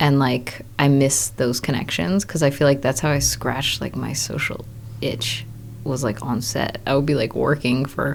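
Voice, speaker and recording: With a Maryland accent, a woman speaks in a very deep, low pitch with vocal fry. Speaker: new mother and film boom operator. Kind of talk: casual interview chat. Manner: casual, filler-heavy.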